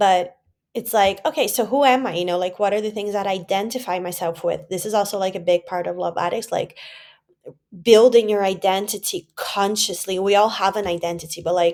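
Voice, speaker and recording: A woman speaks at a fairly quick pace with a Portuguese accent. Her pitch varies in an ordinary way. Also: medium pitch for a woman. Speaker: vlogger. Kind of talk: personal vlog. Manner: casual, many fillers.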